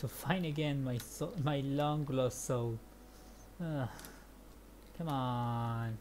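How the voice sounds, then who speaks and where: A woman speaks very slowly, with long and frequent pauses, in a very deep, low voice whose pitch varies in an ordinary way. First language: Spanish. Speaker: gaming streamer. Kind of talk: let's play commentary. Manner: animated.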